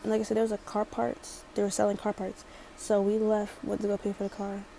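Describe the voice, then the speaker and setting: A woman with a slight Baltimore accent speaks in a monotone, flat intonation over noticeable background noise. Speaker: storytime vlogger. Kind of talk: storytime.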